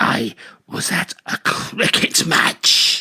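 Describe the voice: A man puts on a character voice. It sounds raspy.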